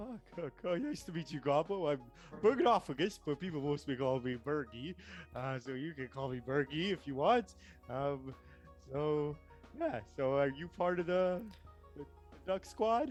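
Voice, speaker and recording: Over clear music in the background, a man in a put-on character voice with a fairly high pitch speaks at a moderate pace with long, frequent pauses. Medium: actual play. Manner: rambling, hesitant, easygoing.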